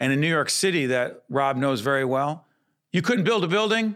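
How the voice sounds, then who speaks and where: Speaking at a moderate pace in an American accent, this is an ordinary speaking voice. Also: man. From Newark, New Jersey. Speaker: podcast and TV host. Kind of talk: interview and moderated debate. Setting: studio.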